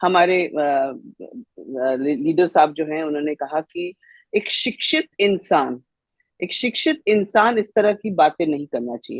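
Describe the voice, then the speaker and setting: With very wide pitch swings, a woman speaks in a fairly low voice, the sound dry and close with no echo. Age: 60s. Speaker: panelist. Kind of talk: panel debate. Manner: animated.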